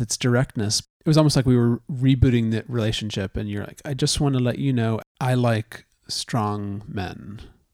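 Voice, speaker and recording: A man speaks at a moderate pace with a medium pitch and ordinary pitch variation, in a plain, everyday voice. The recording is very clean and dry, close and echo-free, with a silent background. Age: 40s. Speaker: podcast co-host, husband. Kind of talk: casual conversation. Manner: joking, playful.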